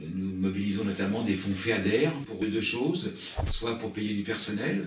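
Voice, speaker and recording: A man with a fairly low pitch speaks at a fairly slow pace, with ordinary pitch variation. Audible room echo surrounds his voice. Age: 60s. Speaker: nature reserve director. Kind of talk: interview. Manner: halting.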